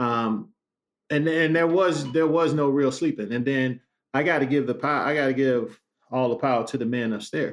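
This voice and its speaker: A man with an American accent talks at a moderate pace and fairly high pitch, his loudness very even and his pitch variation ordinary. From Chicago West Side. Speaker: former pro basketball player. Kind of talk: casual interview chat. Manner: animated.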